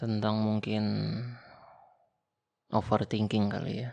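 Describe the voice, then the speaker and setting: A man's fairly low voice has a gentle tone and monotone, flat intonation. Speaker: ASMR roleplay creator playing an older brother. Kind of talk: casual advice talk about success and consistency. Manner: soft-spoken, gentle, intimate.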